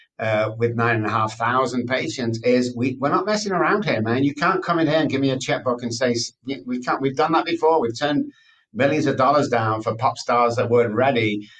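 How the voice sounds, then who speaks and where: Speaking fairly quickly with hardly any pauses, a man with a Mancunian accent keeps a medium pitch and ordinary pitch variation. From England, Manchester. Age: 60s. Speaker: addiction expert. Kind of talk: interview. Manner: animated.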